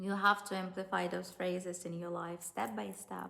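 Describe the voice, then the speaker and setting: A woman speaks with a bright, sharp tone. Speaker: dating and relationship coach. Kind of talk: online course tutorial. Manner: slow.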